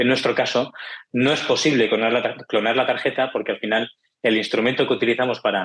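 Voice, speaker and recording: This is a man with a Barcelona accent. His pitch sits in the medium range. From Spain, Barcelona. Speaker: tech startup founder. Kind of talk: interview.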